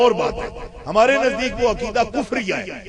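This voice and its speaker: An extremely high-pitched male voice with noticeable background noise. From Pakistan, Punjab (Mandi Bahauddin, Gujrat area). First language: Punjabi (speaking Hindi). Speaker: Islamic scholar. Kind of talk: religious speech. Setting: conference with audience.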